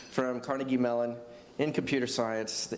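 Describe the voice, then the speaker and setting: An American accent against noticeable background noise and audible room echo. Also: man. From Texas. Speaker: tech executive. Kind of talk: panel discussion.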